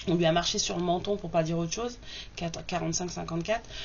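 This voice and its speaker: A soft-spoken woman, with audible room echo and noticeable background noise. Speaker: tarot reader. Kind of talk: tarot reading. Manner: hesitant, many fillers.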